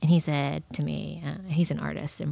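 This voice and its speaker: Nothing can be heard behind this very clean recording. An American accent comes through in the speech. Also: woman. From Texas. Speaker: nonprofit executive director and former political campaign worker. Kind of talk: casual chat.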